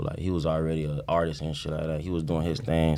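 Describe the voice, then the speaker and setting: An American accent marks this speech. Its delivery stays flat, with monotone intonation. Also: man. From South Florida (Broward County, Pompano Beach), Haitian family. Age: 20s. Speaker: rapper. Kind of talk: casual interview. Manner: laid-back, filler-heavy speech.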